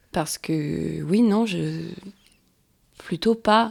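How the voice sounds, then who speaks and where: A woman with a fairly low pitch and a dark, mellow tone is heard in a very clean recording with a silent background. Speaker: poet and performer. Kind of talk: casual interview chat. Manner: hesitant, many fillers.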